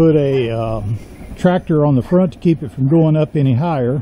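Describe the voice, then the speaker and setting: A man at a moderate pace, with ordinary pitch variation and light background noise. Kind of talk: casual vlog chat. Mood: relaxed, wry. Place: street. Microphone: phone near.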